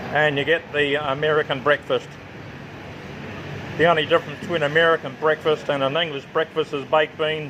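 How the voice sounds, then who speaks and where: The delivery is monotone and flat at a fairly quick pace, broken by long, frequent pauses. Noticeable background noise runs underneath. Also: man, fairly high pitch for a man. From New Zealand and Australia. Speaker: travel vlogger. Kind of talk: casual vlog walkthrough. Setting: outdoor restaurant.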